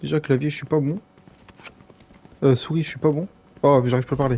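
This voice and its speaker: A man at a fairly high pitch, very fast pace, fairly even intonation and long, frequent pauses, with noticeable background noise. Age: 20s. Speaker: gaming streamer. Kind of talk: live gameplay stream chat. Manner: casual, hesitant with fillers.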